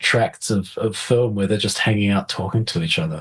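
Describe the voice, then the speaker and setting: This man speaks at a fairly quick pace with a medium pitch. His voice is somewhat breathy. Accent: New Zealand. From New Zealand. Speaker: film composer. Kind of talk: interview. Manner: animated, hesitant with many repetitions.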